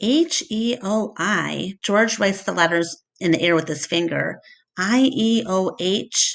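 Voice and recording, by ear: This is reading aloud in a natural voice, with ordinary pitch variation against a quiet background.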